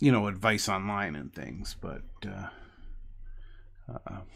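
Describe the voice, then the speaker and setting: A man's bright, sharp-toned voice at a very slow pace. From New Jersey. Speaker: hobby live streamer. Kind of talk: casual live stream chat. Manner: halting, many fillers and repeats; stutters.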